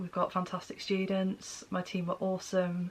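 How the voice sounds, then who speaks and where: At a fairly slow pace, a woman speaks. Her pitch is medium. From northern England, mixed (Cheshire, Sunderland, Manchester). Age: 40s. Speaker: podcaster, writer and library worker. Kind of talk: casual chat. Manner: rambling, hesitant with fillers.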